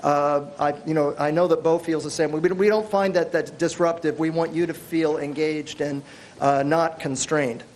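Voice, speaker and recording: The pace is moderate. Audible room echo and noticeable background noise fill the recording. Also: man. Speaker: workshop presenter. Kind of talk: workshop lecture. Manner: loud.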